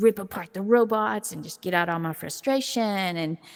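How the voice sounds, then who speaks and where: A woman with an American accent speaks at a moderate pace with ordinary pitch variation. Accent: Southern US accent, noted by others. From US South, southeast Tennessee near Chattanooga. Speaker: VR esports journalist and player. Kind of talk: interview. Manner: loud.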